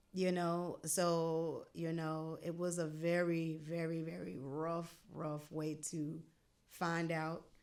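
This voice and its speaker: A woman with an American accent speaks very slowly in a fairly low, flat monotone, with audible room echo. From North Carolina. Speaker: jazz vocalist and educator. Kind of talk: interview.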